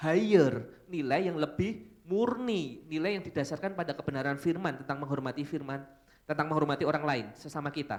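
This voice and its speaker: A man at a fairly quick pace, with fairly high pitch and ordinary pitch variation. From Solo, Central Java, Indonesia. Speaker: pastor. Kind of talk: sermon. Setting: church. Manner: casual, conversational.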